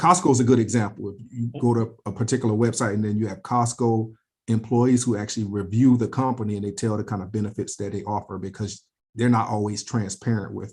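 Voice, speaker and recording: A somewhat breathy voice at a very fast pace, fairly even in intonation, over a quiet background. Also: man, medium pitch for a man. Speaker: personal finance channel host, interviewer. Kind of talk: casual interview.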